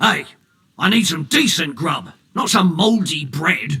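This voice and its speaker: A man puts on a raspy, high-pitched character voice and speaks at a fairly slow pace. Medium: video game. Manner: coarse, grumbling.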